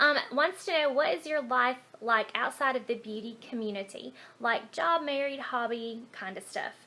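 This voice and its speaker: Noticeable background noise sits behind a woman speaking in a Southern US accent. Her high voice moves at a moderate pace with ordinary pitch variation and hardly any pauses. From Alabama, USA. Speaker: beauty vlogger. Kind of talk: casual talk to camera. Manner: casual, hesitant with fillers.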